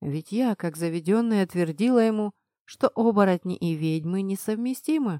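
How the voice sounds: The reading voice sounds natural. The surroundings are quiet.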